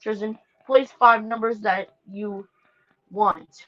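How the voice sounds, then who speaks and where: A woman's voice, pitched fairly high. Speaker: livestreamer running a racing game livery draft. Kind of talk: casual live stream chat. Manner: halting, many fillers.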